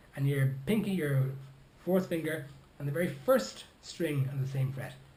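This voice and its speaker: The speech moves at a moderate pace with ordinary pitch variation. Room echo is audible. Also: man, fairly high pitch for a man. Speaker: ukulele teacher. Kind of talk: tutorial. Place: home room. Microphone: phone near.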